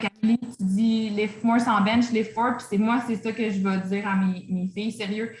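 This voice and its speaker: A woman's fairly high voice at a fairly slow pace, monotone and flat in intonation, with hardly any pauses and noticeable background noise. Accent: Quebec. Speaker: fitness coach. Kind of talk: online training session Q&A. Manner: casual, hesitant with many fillers.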